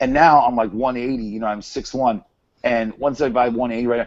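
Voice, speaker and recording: A man with an American accent speaks at a fairly quick pace. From Massachusetts, Merrimack Valley. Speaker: hangout host. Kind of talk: casual chat. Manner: animated.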